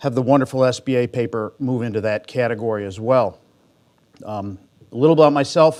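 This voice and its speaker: A man with a Midwestern American accent, medium pitch, ordinary pitch variation and a fairly quick pace. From Michigan. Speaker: bank executive, conference discussant. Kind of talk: conference talk. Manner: fast.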